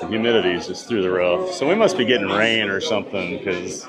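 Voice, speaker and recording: A man talks at a fairly quick pace with an American accent, with music in the background and audible room echo. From US Midwest, Iowa. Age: 40s. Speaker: theme park livestreamer. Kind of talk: live stream chat.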